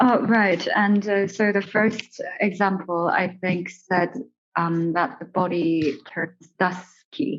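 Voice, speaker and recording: Speaking very slowly in a non-native accent, a woman has a medium pitch and ordinary pitch variation. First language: not English. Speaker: audience member asking a question. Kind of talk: audience question. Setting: gallery space at a talk. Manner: halting, many fillers.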